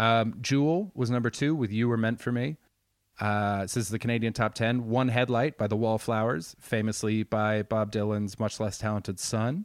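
A man with a normal speaking voice at medium pitch, fairly even intonation, moderate pace and very even loudness, on a very clean recording with a silent background. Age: 30s. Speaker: podcast co-host. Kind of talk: casual chat.

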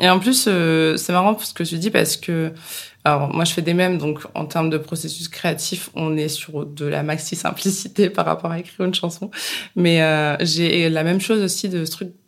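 Keeping to fairly even intonation, a woman with a normal speaking voice and a fairly low pitch speaks at a moderate pace. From France, Bourges. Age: 30s. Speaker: podcast host. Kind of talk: casual chat.

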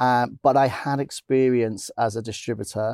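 The speaker is a man. His sound is dry and close, with no echo. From northern England (Blackpool, Lancashire). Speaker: cinema programming and film distribution executive. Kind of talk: interview conversation. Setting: cinema screening room.

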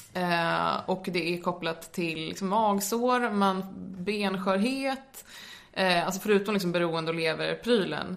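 Woman's voice with ordinary pitch variation amid noticeable background noise. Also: medium pitch for a woman, fairly slow pace. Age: 20s. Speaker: medical student and drug education lecturer. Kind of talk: informative interview.

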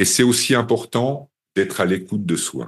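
A man speaks at a fairly slow pace and a medium pitch. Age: 50s. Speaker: hypnotherapy trainer. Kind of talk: webinar presentation. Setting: webinar. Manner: animated.

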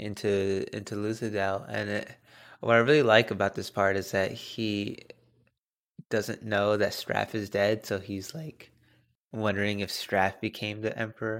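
The recording is very clean with a silent background. A man speaks at a fairly slow pace in a fairly low pitch. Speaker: podcast co-host. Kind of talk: casual chat.

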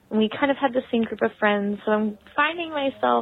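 A normal speaking voice talks at a moderate pace. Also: woman. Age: 20s. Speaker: listener leaving a voicemail. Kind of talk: recorded voicemail.

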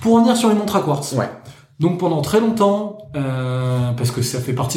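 Audible room echo surrounds a man's voice. He talks at a moderate pace with lively intonation. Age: 30s. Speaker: watch collector. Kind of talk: casual chat.

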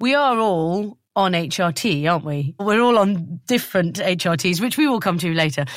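This woman has a British accent and a medium pitch. Her intonation is lively, and she leaves hardly any pauses. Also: moderate pace. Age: 40s. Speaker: podcast host. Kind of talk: casual chat. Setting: video call.

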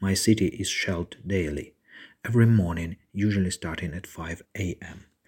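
A man talks at a fairly slow pace in a fairly low pitch. His voice is somewhat breathy. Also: very clean recording, silent background. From eastern Ukraine, Severodonetsk. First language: Ukrainian or Russian. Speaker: war refugee. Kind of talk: testimony.

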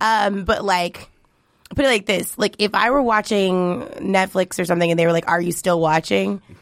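A plain, everyday voice from a woman at medium pitch with ordinary variation, on a very clean recording with a silent background. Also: moderate pace. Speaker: comedian. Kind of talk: casual comedic chat. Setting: studio.

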